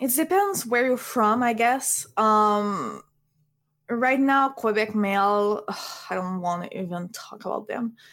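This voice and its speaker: A woman with a French accent talks at a fairly slow pace. Her pitch is fairly high, with ordinary variation. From France. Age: 20s. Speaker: streamer. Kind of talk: casual chat.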